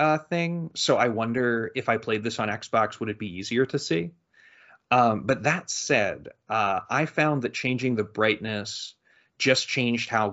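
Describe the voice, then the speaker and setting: A normal speaking voice from a man, medium in pitch with ordinary variation, at a fairly slow pace. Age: 30s. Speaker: video game podcast host. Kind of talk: casual chat.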